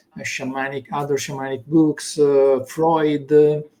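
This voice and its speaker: A man speaks with an Italian accent. His pitch is fairly high and his pace fairly slow. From Italy. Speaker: consciousness teacher. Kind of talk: interview. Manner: halting.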